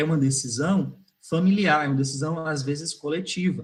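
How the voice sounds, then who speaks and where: Pitched fairly high, a man's voice rises and falls in an ordinary way as he talks at a moderate speed. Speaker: migration researcher. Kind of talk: online academic talk. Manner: hesitant fillers.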